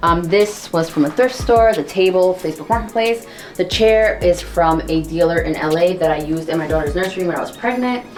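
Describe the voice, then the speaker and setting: A woman talking at a fairly quick pace with hardly any pauses, music playing in the background. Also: fairly low pitch for a woman, ordinary pitch variation. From Italy, moved to New York at seven. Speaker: homeowner giving a home tour. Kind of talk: casual house tour chat. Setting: at home.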